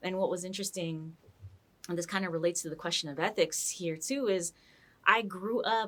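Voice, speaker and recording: A woman with an American accent uses an ordinary speaking voice at a medium pitch, with ordinary pitch variation and a fairly quick pace. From US West Coast, San Francisco Mission District. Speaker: scholar and artist. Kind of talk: interview conversation. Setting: in person, sitting together. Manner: fluent with many fillers and restarts.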